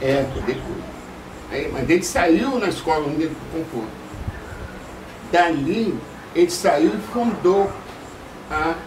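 The speaker goes at a very slow pace with long, frequent pauses and lively intonation over noticeable background noise. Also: man, high pitch for a man. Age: 80s+. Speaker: samba composer. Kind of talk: interview answer, reminiscing. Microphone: camera far.

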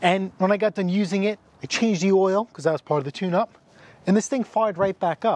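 A high-pitched man talks at a fairly quick pace. The sound is dry with no echo, and light background noise can be heard. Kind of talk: casual vlog chat. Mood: relaxed, joking. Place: street.

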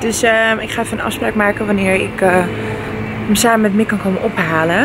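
There is noticeable background noise as a woman speaks at a moderate pace. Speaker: vlogger. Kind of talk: casual vlog chat. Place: street. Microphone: phone near.

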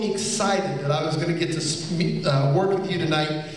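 The man has a fairly high pitch, with strong room echo around him. Light background noise is present. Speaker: magician and interviewer. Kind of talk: on-stage interview questions. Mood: warm, admiring. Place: stage.

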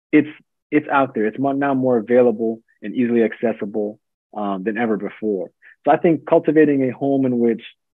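Over a quiet background, a man talks at a fairly quick pace with ordinary pitch variation and a dry sound with no echo. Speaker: guest sociology professor. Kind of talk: interview answer. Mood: thoughtful, hopeful. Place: home room. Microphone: video call.

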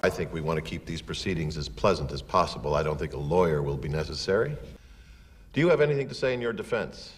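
Delivered at a very fast pace, the speech has lively intonation and vocal fry. Light background noise sits underneath. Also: man, very deep, low pitch for a man. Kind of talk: scripted film dialogue. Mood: smug, falsely pleasant.

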